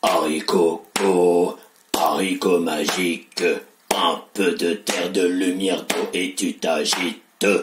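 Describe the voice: Using a put-on character voice, a man speaks with a very deep, low pitch at a fairly slow pace, with long, frequent pauses.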